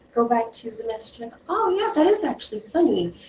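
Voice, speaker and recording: A woman speaks at a fairly quick pace with very wide pitch swings. Noticeable background noise is present. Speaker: UX design instructor. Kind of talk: lecture.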